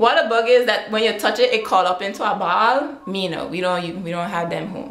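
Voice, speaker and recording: A woman at a medium pitch and moderate pace, with ordinary pitch variation, hardly any pauses and audible room echo. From British Virgin Islands. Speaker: vlogger. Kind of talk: casual talk to camera. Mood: playful, relaxed. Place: home room. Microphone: webcam.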